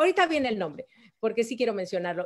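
In a Mexico City accent, a woman speaks in an animated tone against a quiet background. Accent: Mexican Spanish (Mexico City). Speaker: photographer and writer; guest. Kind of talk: interview; interview answer. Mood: lively, expressive storytelling. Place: home room. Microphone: video call.

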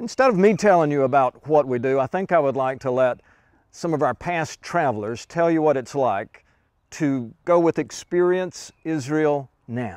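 Lively intonation at a moderate pace comes through a dry sound with no echo and a quiet background. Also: man. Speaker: tour leader pastor. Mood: warm, enthusiastic. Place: forest. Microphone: lapel.

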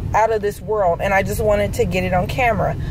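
Noticeable background noise sits behind a woman whose voice sounds dry, with no echo. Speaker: vlogger introducing her mother-in-law. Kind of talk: casual talk to camera. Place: car. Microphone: phone near.

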